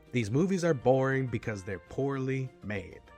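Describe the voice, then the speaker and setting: Music plays in the background as a man speaks at a moderate pace. His medium pitch moves in very wide swings. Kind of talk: comedic movie review roast. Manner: sarcastic.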